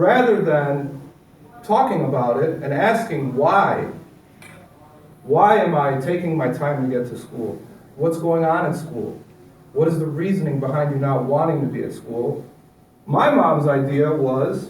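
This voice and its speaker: With a Chicago accent and a fairly high pitch, a man speaks at a fairly slow pace with long, frequent pauses and ordinary pitch variation, amid noticeable background noise and audible room echo. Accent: Chicago American English. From Chicago and suburbs, immigrant child. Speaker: motivational speaker on recovery. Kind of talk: personal testimony talk to an audience. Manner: conversational, interactive.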